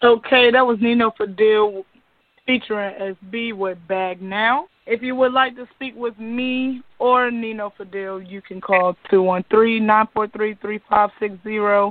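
Her voice is unremarkable, with a fairly high pitch and fairly even intonation. This woman speaks at a fairly slow pace, with big swings in loudness. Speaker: radio show host. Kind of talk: casual radio interview. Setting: studio.

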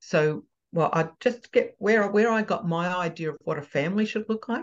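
The speaker has an Australian accent and talks at a fairly slow pace. Pitch variation is ordinary, and the background is quiet. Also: woman. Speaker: parenting coach. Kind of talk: casual interview chat. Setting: video call.

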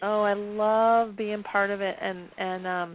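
A woman speaks slowly at a medium pitch, her intonation fairly even.

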